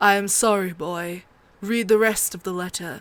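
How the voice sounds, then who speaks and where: In a gruff, put-on character voice, a woman talks at a moderate pace and medium pitch, her loudness swinging widely. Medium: read story. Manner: gruff, blunt.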